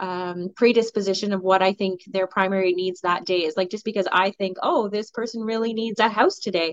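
A woman with a Canadian accent speaks at a moderate pace in a plain, everyday voice, her medium pitch carried on fairly even intonation. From Ontario, Canada. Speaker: police sergeant. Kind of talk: radio interview.

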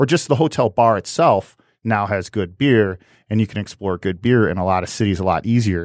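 An ordinary speaking voice moves at a fairly quick pace with ordinary pitch variation, in a very clean, dry, close recording with no echo and a silent background. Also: man, fairly low pitch for a man. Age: 40s. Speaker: brewery tour company owner. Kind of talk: casual interview chat. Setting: studio.

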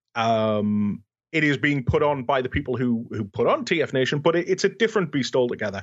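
A man with a British accent talks at a fairly quick pace. His pitch is fairly high and swings very widely. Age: 30s. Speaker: fan convention organizer. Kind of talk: podcast interview.

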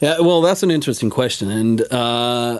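With a Swedish accent, a man talks at a medium pitch using lively intonation. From Sweden. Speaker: musician. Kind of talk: casual chat. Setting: studio.

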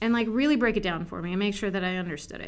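Audible room echo surrounds the recording. A woman speaks at a medium pitch with fairly even intonation. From US Mid-Atlantic, Montgomery County, Maryland. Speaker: animation post-production supervisor. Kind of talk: interview.

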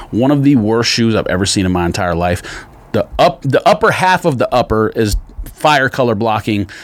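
With a normal speaking voice, a man with an American accent talks at a moderate pace, at a medium pitch and with lively intonation. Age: 40s. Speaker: sneaker podcast co-host. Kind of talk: casual chat.

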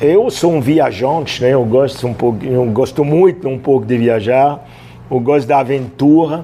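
Against noticeable background noise, a man at medium pitch talks at a fairly slow pace with ordinary pitch variation. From France, Roanne. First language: French (speaking Portuguese). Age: 60s. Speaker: chef. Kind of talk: casual interview.

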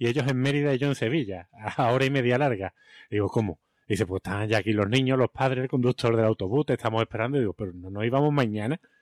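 The man speaks at a very fast pace with ordinary pitch variation. The sound is dry and close, with no echo. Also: medium pitch for a man. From Spain, Seville. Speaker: teacher and podcast co-host. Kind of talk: casual chat.

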